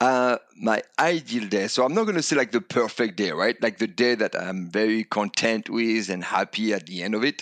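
Speaking at a moderate pace with a French accent, a man hardly pauses. The sound is dry and close, without echo. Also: medium pitch for a man, ordinary pitch variation. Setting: video call.

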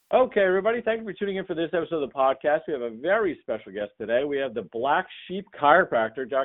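A man with an American accent, a high pitch, lively intonation, and a very fast pace. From New Jersey. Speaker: podcast host and chiropractor. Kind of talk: casual interview.

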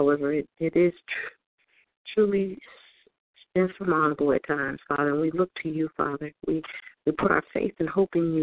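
Moderate pace and fairly even intonation in a normal speaking voice. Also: woman. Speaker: prayer participant. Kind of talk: fervent prayer. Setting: phone conference call. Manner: earnest, repeating 'Father' between phrases.

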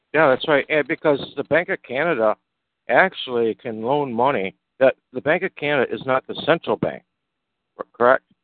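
At a moderate pace, a man with a plain, everyday voice speaks at a fairly high pitch with ordinary pitch variation. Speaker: discussion group host. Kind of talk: live community call discussion.

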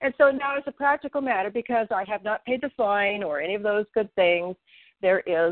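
Speaking at a moderate pace with lively intonation, a woman has an unremarkable speaking voice. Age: 60s. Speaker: grassroots legal activist. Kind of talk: casual group discussion.

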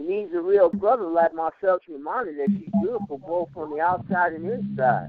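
Noticeable background noise sits behind a man with a high pitch. His loudness swings widely. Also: ordinary pitch variation, moderate pace. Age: 40s. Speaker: poet. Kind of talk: spoken word poem performed on call-in radio.

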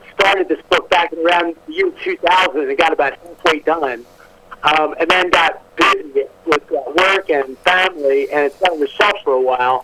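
Over noticeable background noise, a man with an American accent speaks at a high pitch. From Maryland, US. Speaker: author. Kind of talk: phone interview. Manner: halting.

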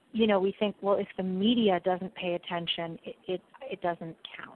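A woman's medium-pitched voice with an American accent, fairly even intonation, and an ordinary speaking voice. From New York City. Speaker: PR firm founder. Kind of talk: interview.

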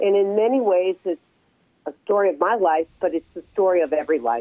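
A woman's fairly low-pitched voice with ordinary pitch variation, a plain, everyday voice. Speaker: author and reverend. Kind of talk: interview.

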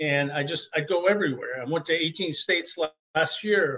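With an ordinary speaking voice, a man speaks at a moderate pace, fairly high in pitch with ordinary pitch variation. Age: 60s. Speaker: nonprofit founder. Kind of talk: interview. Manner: upbeat.

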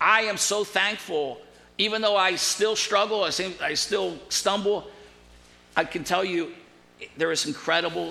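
In a room with audible echo, a man speaks fairly slowly in a bright, sharp tone, with ordinary pitch variation and big swings in loudness. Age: 60s. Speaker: pastor. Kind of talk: sermon.

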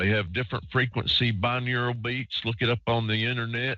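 A man with an ordinary speaking voice, medium pitch and moderate pace. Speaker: radio host. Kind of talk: live call-in radio show. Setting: online radio show, recording line.

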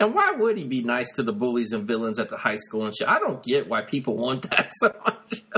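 Noticeable background noise runs under a man's speech. He talks fairly quickly with hardly any pauses. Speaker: podcast host, movie reviewer. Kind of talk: casual chat, profane banter. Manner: animated, excitable.

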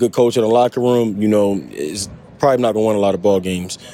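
Over noticeable background noise, the speaker rushes along at a very fast pace with fairly even intonation. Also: man. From Baltimore. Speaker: football draft prospect. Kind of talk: interview.

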